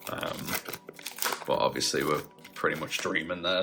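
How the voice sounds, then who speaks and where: Music plays in the background. The speaker talks with an English accent. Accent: English accent, still held. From northern England, near Liverpool. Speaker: YouTuber, card collector. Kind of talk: pack opening, casual chat. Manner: casual, hesitant with fillers.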